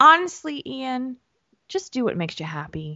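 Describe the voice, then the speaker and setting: A woman speaks with an American accent at a moderate pace. Her pitch swings very widely. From New Jersey. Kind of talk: casual chat.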